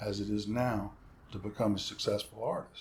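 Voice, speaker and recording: A man speaks in a somewhat breathy voice. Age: 60s. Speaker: session guitarist. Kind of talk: casual chat.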